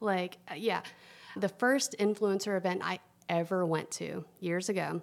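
With a Southern US accent, a woman at a medium pitch speaks at a fairly slow pace with ordinary pitch variation. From US South, Tennessee. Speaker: food influencer. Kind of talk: casual chat.

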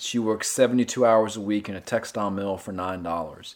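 A man with an American accent, fairly low-pitched, with fairly even intonation, on a very clean recording with a silent background. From North Carolina (Gastonia, western NC). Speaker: novelist. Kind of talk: interview.

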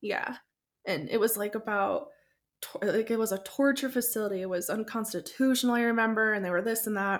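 With an American accent, a woman speaks at a fairly quick pace in a plain, everyday voice, her fairly high pitch showing ordinary variation on a very clean recording with a silent background. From Tucson, Arizona. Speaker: podcaster. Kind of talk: casual chat.

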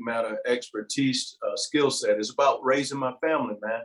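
Here a man with a plain, everyday voice speaks at a moderate pace and a fairly high pitch. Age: 60s. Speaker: university information security chief, army veteran. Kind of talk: interview conversation.

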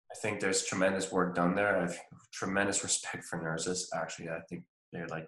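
Very deep and low, a man's voice moves at a fairly quick pace in a monotone, flat way. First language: not English. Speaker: naturopath. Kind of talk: casual interview.

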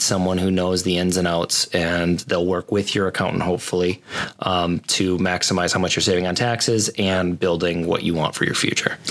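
A soft-spoken man with a very deep, low pitch, monotone, flat intonation, very even loudness, and hardly any pauses. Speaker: co-host, podcast engineer. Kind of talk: casual chat. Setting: studio.

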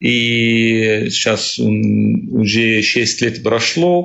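A man with an Arabic accent at a very slow pace. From Syria. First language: Arabic (speaking Russian). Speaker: refugee, cook. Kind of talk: interview. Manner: halting.

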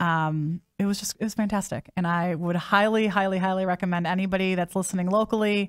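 At a moderate pace, a woman with an American accent speaks at medium pitch on a very clean recording with a silent background. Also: dry, close sound with no echo. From US Midwest. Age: 40s. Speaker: podcast host. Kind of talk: casual interview.

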